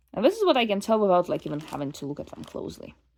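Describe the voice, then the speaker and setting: A woman speaks with a non-native accent. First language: not English. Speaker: doll collector vlogger. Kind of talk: casual unboxing monologue. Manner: casual, halting with fillers.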